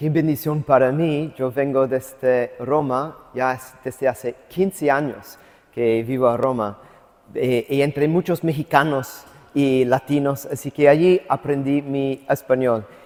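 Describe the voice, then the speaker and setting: This man talks very slowly, his fairly high voice keeping a fairly even intonation. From US South, Atlanta. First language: English (speaking Spanish). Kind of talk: lecture. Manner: halting.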